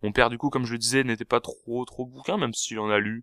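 At a moderate pace and with fairly even intonation, the voice comes through as a dry, close sound with no echo on a very clean recording with a silent background. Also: man. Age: 20s. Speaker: podcast host. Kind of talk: solo monologue. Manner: hesitant, many fillers; casual.

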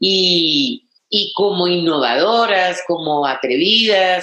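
The voice has lively intonation, and audible room echo surrounds it. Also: woman. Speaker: feminist journalist and historian. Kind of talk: lecture.

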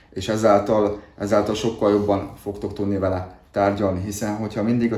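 Somewhat breathy and dark, mellow in tone, a man talks at a moderate pace in a fairly low pitch with monotone, flat intonation. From southern Slovakia (Hungarian minority, Dunajská Streda area). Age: 30s. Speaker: salesperson. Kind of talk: interview.

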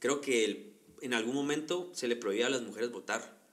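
A man speaks at a moderate pace in a medium pitch, with an ordinary speaking voice. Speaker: podcast co-host. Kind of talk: casual chat.

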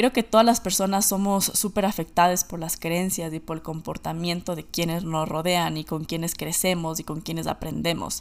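A woman with an unremarkable speaking voice talks at a moderate pace in a fairly low pitch, her intonation fairly even and her speech running with hardly any pauses. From Ecuador. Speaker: podcast host. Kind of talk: solo monologue podcast.

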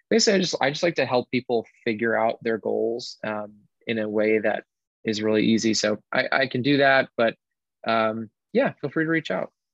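With an American accent, a man uses a normal speaking voice at medium pitch and a moderate pace, and the sound is dry and close with no echo. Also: ordinary pitch variation. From Connecticut. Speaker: wellness facilitator. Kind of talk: interview.

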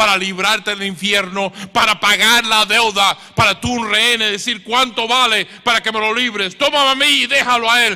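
A man's raised, projected voice, high-pitched, at a moderate pace. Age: 60s. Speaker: preacher. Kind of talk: sermon. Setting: church.

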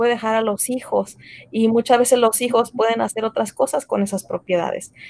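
A plain, everyday voice speaks at a moderate pace with ordinary pitch variation, in a dry, close sound with no echo. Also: woman. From Mexico, raised in the US from age five. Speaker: entrepreneur, tax and insurance business owner. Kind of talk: casual interview.

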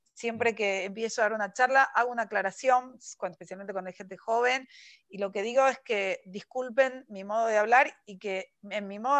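A woman with a plain, everyday voice talks at a fairly quick pace in a fairly high pitch. Her intonation is fairly even, and the background is quiet. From Argentina, Buenos Aires. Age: 40s. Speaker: writer. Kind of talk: interview. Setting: video call.

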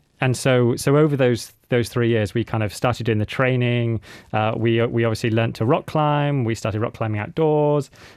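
Using a British accent, a man speaks at a medium pitch and moderate pace with fairly even intonation. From UK. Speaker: adventurer and mountaineer. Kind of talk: radio interview. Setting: radio studio.

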